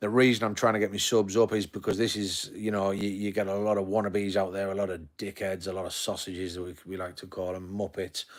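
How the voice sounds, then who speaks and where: A man in a Yorkshire accent, fairly low in pitch, flat and monotone at a very fast pace. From Yorkshire, northern England. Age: 40s. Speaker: live streamer. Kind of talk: casual chat. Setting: home living room. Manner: halting.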